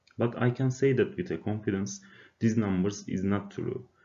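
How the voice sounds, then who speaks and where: In a Turkish accent, a man speaks at a moderate pace and medium pitch with lively intonation. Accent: non-native, Turkish. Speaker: university student. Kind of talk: class presentation, personal testimony. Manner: hesitant, many filler uhs.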